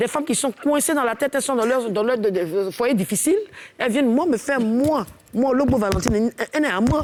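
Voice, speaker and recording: Speaking at a fairly quick pace, a woman with a high pitch uses an animated tone and lively intonation while her loudness stays very even. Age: 50s. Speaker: singer. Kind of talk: casual chat.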